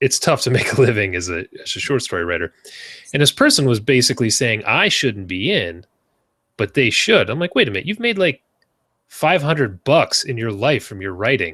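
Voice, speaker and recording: On a very clean recording with a silent background, a man talks at a fairly quick pace in a bright, sharp tone with very wide pitch swings. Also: medium pitch for a man. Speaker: podcast host, self-published author. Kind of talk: casual chat.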